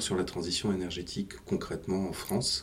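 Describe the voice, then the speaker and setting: A man's very deep, low-pitched voice. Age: 50s. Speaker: energy company executive. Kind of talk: interview.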